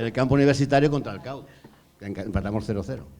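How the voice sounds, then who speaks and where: A man's medium-pitched voice at a very fast pace, with ordinary pitch variation, audible room echo and noticeable background noise. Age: 60s. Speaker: former field hockey goalkeeper. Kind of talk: panel discussion.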